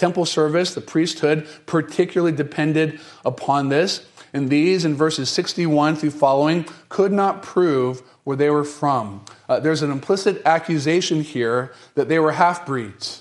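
At a moderate pace, the speaker uses a plain, everyday voice with ordinary pitch variation. The speech is delivered with an American accent. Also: man, fairly high pitch for a man. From US South, North Carolina. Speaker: pastor. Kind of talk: sermon. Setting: church.

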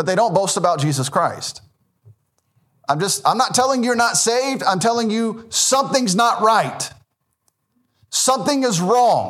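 Speaking at a moderate pace with a Southern US accent, a man has a high pitch, lively intonation and very even loudness. Long, frequent pauses break up his speech, and the room echoes audibly. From US South, Memphis, Tennessee. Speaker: Baptist pastor. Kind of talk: sermon.

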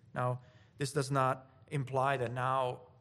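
Speaking in an Italian accent, the man keeps to a medium pitch. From Italy. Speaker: preacher. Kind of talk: sermon.

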